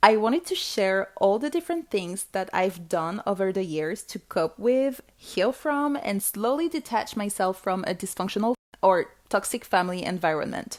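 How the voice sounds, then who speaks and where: A woman's voice with very wide pitch swings, captured in a very clean recording against a silent background. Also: medium pitch for a woman, moderate pace. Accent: non-native. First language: not English. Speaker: podcast host. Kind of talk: solo podcast monologue. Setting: home recording alone with microphone.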